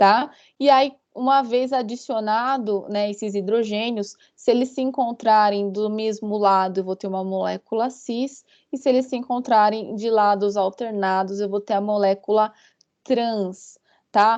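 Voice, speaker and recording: An unremarkable speaking voice delivers fairly even intonation at a fairly slow pace against a quiet background. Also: woman, fairly high pitch for a woman. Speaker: university lecturer. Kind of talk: online lecture.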